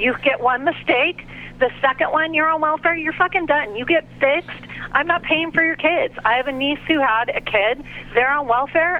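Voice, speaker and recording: A woman talks at a moderate pace in a high voice with ordinary pitch variation, against noticeable background noise. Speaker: caller. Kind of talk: call-in debate. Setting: phone call.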